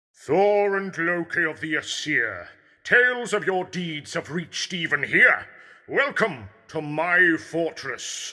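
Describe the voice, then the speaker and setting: At a fairly slow pace, someone performs in a put-on character voice. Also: man, high pitch for a man. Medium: audio drama. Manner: smug, teasing.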